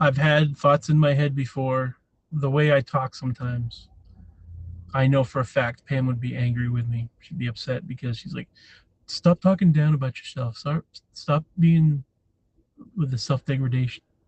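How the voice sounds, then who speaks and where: A man with an American accent speaks at a fairly high pitch, somewhat breathy, with fairly even intonation. Long, frequent pauses break up the dry, close sound, which has no echo. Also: moderate pace. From New Hampshire, US. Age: 40s. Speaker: live streamer. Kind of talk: casual chat. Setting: livestream. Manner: casual, meandering.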